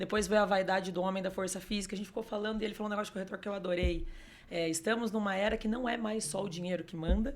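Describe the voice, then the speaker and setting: This woman's voice sits at a medium pitch. She races along at a very fast pace. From Curitiba, Paraná, southern Brazil. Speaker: real estate sales consultant. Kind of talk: podcast interview conversation. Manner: animated.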